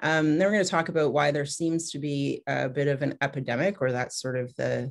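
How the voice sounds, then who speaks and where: Vocal fry marks a woman's very deep, low voice with a Canadian accent. She speaks at a fairly quick pace with ordinary pitch variation. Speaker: pediatrician. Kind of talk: webinar presentation. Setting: video call. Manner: fast.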